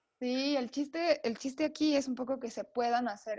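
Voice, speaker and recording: A woman with a Mexican accent speaks at a moderate pace, with a dry, close sound and no echo. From Mexico, Oaxaca. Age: 30s. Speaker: designer and accessories entrepreneur. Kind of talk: casual interview chat.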